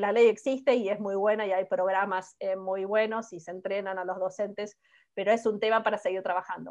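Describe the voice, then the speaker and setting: Nothing much is heard behind the voice. A woman talks at a medium pitch. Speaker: political scientist, professor. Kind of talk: conference talk, Q&A answer. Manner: fast.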